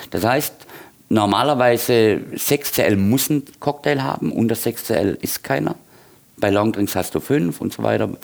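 Here a man speaks at a fairly slow pace in a fairly low pitch with vocal fry. His intonation is lively. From Swabia, Heilbronn area, Germany. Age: 50s. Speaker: bar owner and bartender. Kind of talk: casual interview.

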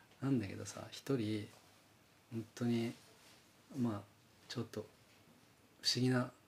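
A man's somewhat breathy, fairly slow delivery with monotone, flat intonation and long, frequent pauses. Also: medium pitch for a man. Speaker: podcast co-host and band musician. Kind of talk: casual chat.

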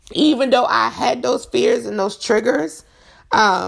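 A woman's voice comes through in a very clean recording with a silent background. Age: 40s. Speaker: podcast host. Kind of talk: personal monologue on faith and mental health.

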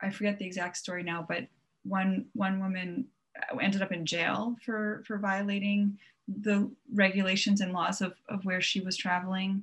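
In a very clean recording with a silent background, a woman speaks at a moderate pace with a somewhat breathy voice at a medium pitch. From Long Island, New York. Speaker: travel blogger. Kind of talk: casual interview chat. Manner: frequent filler ums.

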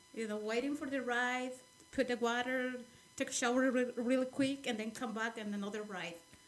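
Against noticeable background noise, a woman with a Spanish accent speaks at a fairly quick pace and high pitch with fairly even intonation. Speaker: immigrant sharing life story. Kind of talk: interview. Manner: halting.

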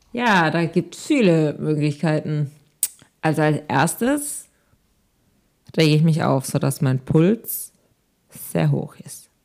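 A woman's very deep, low voice with ordinary pitch variation and big swings in loudness, at a very slow pace full of long, frequent pauses. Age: 20s. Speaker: podcast co-host. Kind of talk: casual chat.

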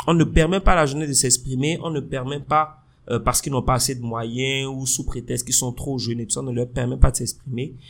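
This man has an unremarkable speaking voice with a medium pitch and a fairly quick pace. The recording is very clean, with a silent background. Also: fairly even intonation. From Benin. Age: 30s. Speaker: podcast co-host. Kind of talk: casual chat.

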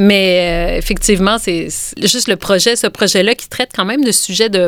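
A woman's medium-pitched voice with a Quebec accent, moderate in pace, with ordinary pitch variation and noticeable background noise. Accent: Québécois French. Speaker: author and illustrator. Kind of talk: interview.

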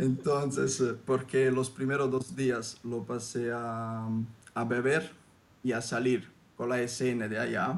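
Very slow male speech at a middle pitch, its intonation fairly even. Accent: Italian. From southern Italy. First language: Italian (speaking Spanish). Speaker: former exchange student. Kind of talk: casual interview. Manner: hesitant, many fillers.

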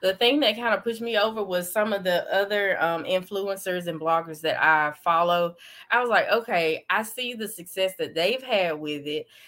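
With an Alabama accent, a woman talks at a moderate pace in a bright, sharp tone, her medium pitch showing ordinary variation. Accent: Southern US (Alabama). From US South, Alabama. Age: 30s. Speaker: social media influencer and blogger. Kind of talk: interview. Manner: hesitant, many fillers.

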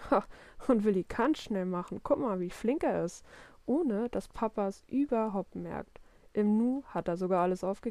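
The speaker is doing a plain reading aloud.

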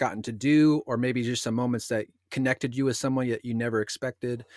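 A man talks at a fairly quick pace and medium pitch, an ordinary speaking voice. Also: dry, close sound with no echo, very clean recording, silent background. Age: 30. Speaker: podcast host. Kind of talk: casual chat; scripted outro.

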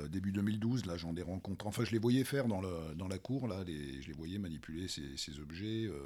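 Deep and very low in pitch, a man speaks at a moderate pace with lively intonation and hardly any pauses, amid audible room echo. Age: 50s. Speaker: masters crossfit athlete. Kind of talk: casual chat. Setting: crossfit gym. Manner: halting.

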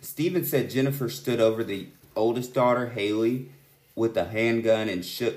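Here a man talks at a moderate pace in a normal speaking voice with medium pitch. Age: 30s. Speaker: true crime podcast co-host. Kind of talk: casual chat.

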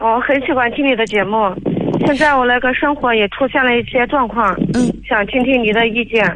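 Over noticeable background noise, a woman with a high pitch talks at a moderate pace and very even loudness. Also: ordinary pitch variation. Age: 30s. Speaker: caller seeking advice. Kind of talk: radio call-in. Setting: phone call. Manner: halting, repeats words.

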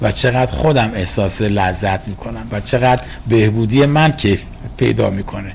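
Noticeable background noise sits behind a man who speaks at a moderate pace with a fairly low pitch. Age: 60s. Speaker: recovering addict sharing story. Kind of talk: interview testimony.

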